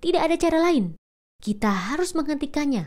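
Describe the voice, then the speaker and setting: Here a woman uses a put-on character voice. It sits at a high pitch and makes very wide pitch swings. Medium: read story.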